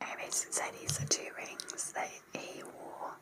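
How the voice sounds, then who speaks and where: A woman whispers at a very slow pace. Noticeable background noise runs beneath her. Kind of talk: casual talk to camera. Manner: whispered, soft-spoken.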